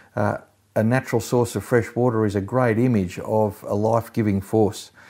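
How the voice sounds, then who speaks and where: In an Australian accent, a man speaks at a moderate pace and medium pitch, his tone dark and mellow with ordinary pitch variation, in a very clean recording with a silent background. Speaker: pastor. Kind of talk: sermon. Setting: recorded at home during lockdown. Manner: halting.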